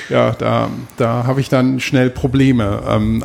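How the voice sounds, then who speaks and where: A man speaks with a plain, everyday voice at medium pitch, showing ordinary pitch variation. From Trier, Germany. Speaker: podcast host. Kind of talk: casual chat. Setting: artist's studio.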